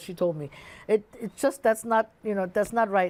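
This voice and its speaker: A woman with a German accent talks at a very fast pace and medium pitch, with ordinary pitch variation. The recording is very clean, with a silent background. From Germany. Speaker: musician. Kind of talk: casual chat. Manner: halting.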